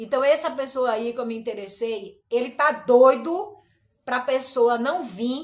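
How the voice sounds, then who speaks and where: A woman speaks at a fairly slow pace in a high-pitched voice. Her tone is animated, with ordinary pitch variation. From Brazil, Recife. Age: 60s. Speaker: pastor. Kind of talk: personal complaint livestream.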